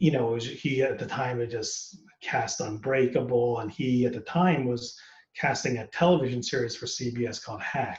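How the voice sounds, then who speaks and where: A man speaks with an American accent in an ordinary speaking voice. His pitch is medium, with ordinary variation, at a moderate pace. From United States. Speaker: actor. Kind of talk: casual interview.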